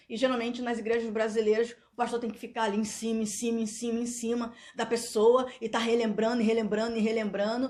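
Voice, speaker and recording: A woman rattles off her words at a very fast pace in a fairly high, monotone, flat voice. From Brazil. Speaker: YouTuber. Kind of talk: vlog monologue. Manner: loud; halting.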